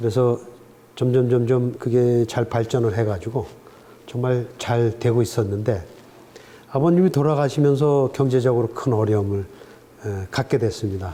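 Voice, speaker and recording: A man at a moderate pace, ordinary pitch variation, long and frequent pauses. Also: medium pitch for a man. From Korea, Gangwon (Chuncheon). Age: 60s. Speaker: professor emeritus. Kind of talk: interview. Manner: hesitant with many fillers.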